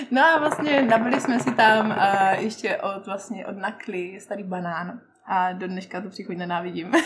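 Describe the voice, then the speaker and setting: Amid noticeable background noise and audible room echo, the speaker goes at a fairly slow pace with hardly any pauses, lively intonation and big swings in loudness. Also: woman, medium pitch for a woman. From Czech Republic, Zlín region. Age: 20s. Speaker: hookah lounge owner. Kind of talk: casual chat. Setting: hookah lounge in a shopping centre.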